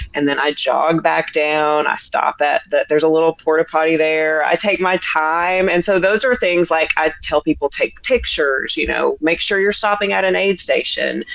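A woman with an American accent speaks at a moderate pace and very even loudness over noticeable background noise. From US South, upper East Tennessee (Tri-Cities). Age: 40s. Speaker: ultrarunner. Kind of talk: casual interview.

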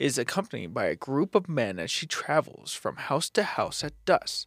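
A man with vocal fry speaks at a fairly slow pace with very wide pitch swings, in a dry, close sound with no echo. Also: very clean recording, silent background. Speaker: podcast co-host. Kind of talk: casual chat.

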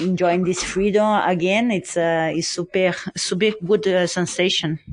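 Speaking with a Brazilian accent, a woman uses a fairly low pitch, fairly even intonation and a fairly slow pace. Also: quiet background. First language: Portuguese. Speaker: ultra and mountain runner. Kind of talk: interview. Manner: halting, many fillers.

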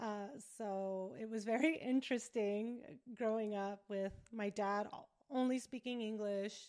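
A woman with an American accent speaks at a fairly high pitch with a dark, mellow tone. Her intonation is monotone and flat. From Southern California (Riverside). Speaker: entrepreneur and podcast host. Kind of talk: casual interview.

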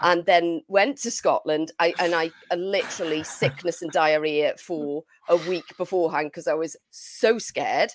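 A woman with an English accent talks at a moderate pace with a fairly low pitch, ordinary pitch variation, and hardly any pauses. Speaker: podcast co-host. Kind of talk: casual chat. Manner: low energy.

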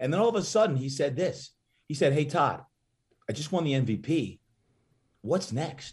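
A man's fairly high, somewhat breathy voice with an American accent, lively intonation and long, frequent pauses. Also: moderate pace. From New Jersey. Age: 50s. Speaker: fitness trainer. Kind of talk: interview. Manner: animated.

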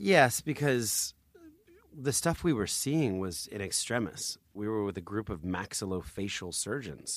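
A man with an American accent speaks in an ordinary speaking voice at a fairly slow pace with a fairly low pitch and lively intonation. The recording is very clean, with a silent background. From New Jersey. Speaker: charity founder and author. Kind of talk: interview storytelling.

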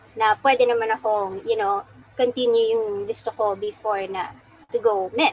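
A woman speaks at a moderate pace in a fairly high pitch with fairly even intonation. It is an ordinary speaking voice. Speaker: prosthetist and orthotist. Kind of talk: interview.

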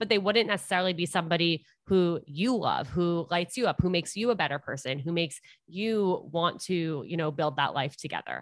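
Over a quiet background, a woman with a normal speaking voice talks at a fairly quick pace, her fairly low pitch showing ordinary variation. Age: 20s. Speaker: dating and relationship podcast host. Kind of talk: casual interview chat.

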